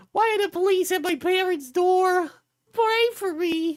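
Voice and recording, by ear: It is a put-on character voice pitched extremely high. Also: moderate pace.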